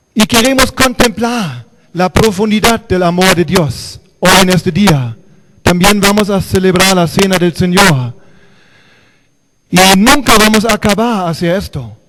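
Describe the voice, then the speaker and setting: Over background music, a high-pitched man speaks fairly slowly with lively intonation and long, frequent pauses. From Germany. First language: German (speaking Spanish). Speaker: pastor. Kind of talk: sermon. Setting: church.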